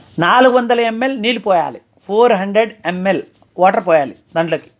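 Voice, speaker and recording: Here a man speaks at a high pitch with ordinary pitch variation. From Andhra Pradesh, Chittoor district. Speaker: ayurvedic practitioner. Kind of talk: health advice talk to camera.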